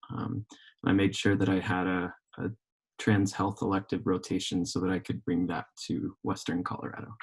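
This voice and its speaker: With an American accent, a man talks at a moderate pace in a very deep, low voice. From Oklahoma. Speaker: physician assistant student. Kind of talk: panel discussion. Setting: live recorded podcast.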